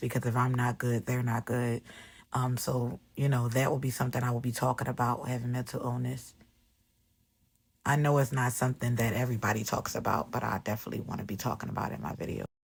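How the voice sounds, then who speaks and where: A woman speaks in a very deep, low pitch with monotone, flat intonation and a somewhat breathy quality. The recording is very clean, with a silent background. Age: 30s. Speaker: vlogger. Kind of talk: casual vlog, personal get-to-know-me talk. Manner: casual, with frequent fillers.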